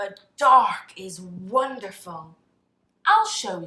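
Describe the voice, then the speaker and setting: A woman's put-on character voice at a medium pitch and a very slow pace. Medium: read story.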